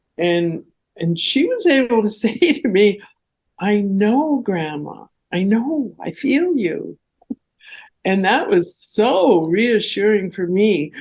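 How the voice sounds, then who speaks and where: A woman speaks very slowly at a medium pitch, somewhat breathy, her pitch swinging very widely. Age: 80s+. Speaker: retired professor. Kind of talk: interview answer.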